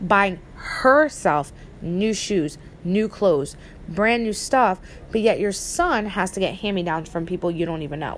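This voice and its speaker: At a fairly slow pace, a woman with an unremarkable speaking voice talks at medium pitch with lively intonation. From New Jersey. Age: 30s. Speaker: podcaster. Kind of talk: casual personal monologue.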